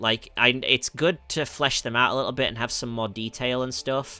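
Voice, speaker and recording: A man of medium pitch with a bright, sharp tone at a fairly quick pace. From northern England, West Yorkshire. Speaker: music producer and voice actor streamer. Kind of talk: livestream Q&A. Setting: livestream. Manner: hesitant, many fillers.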